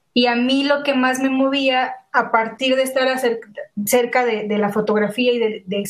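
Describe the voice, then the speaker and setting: A fairly slow pace with monotone, flat intonation. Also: woman. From Mexico, San Luis Potosí. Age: 20s. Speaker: illustrator and graphic designer. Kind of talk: casual interview chat.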